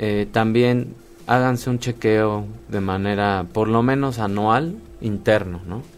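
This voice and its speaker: Music plays in the background as a man talks at a very slow pace. His pitch is medium and varies in an ordinary way. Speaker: molecular medicine specialist. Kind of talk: radio interview.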